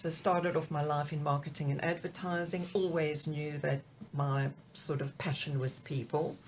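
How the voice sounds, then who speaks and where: This woman has a very deep, low pitch and a somewhat breathy voice with a South African accent. She speaks at a moderate pace with fairly even intonation. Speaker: executive coach. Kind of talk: interview. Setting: studio.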